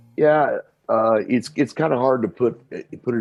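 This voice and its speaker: With an American accent, a man talks, his pitch varying in an ordinary way. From US Midwest, Kansas City, Missouri. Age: 60s. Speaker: singer-songwriter. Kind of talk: interview. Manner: halting, many fillers.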